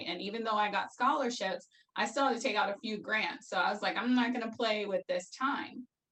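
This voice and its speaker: With an American accent, a woman speaks in a normal speaking voice at a fairly quick pace, her fairly high pitch moving with ordinary variation. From Brooklyn, New York. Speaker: former educator. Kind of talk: interview answer.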